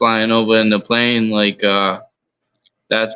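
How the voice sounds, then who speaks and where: With a fairly low pitch, a man speaks in a monotone, flat intonation. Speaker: boxing podcast co-host. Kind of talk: casual boxing commentary.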